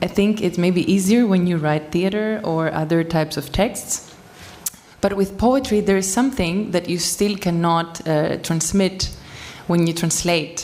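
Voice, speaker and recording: Fairly low-pitched woman's voice with ordinary pitch variation amid noticeable background noise. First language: Greek. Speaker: poet. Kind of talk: panel discussion. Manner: halting.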